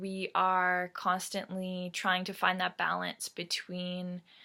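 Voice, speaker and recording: The recording is very clean, with a silent background. A woman with a Canadian accent speaks at a fairly slow pace. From Canada, Ontario (Mississauga). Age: 20s. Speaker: Métis youth community representative. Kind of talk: prepared personal talk. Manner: frequent 'um' fillers.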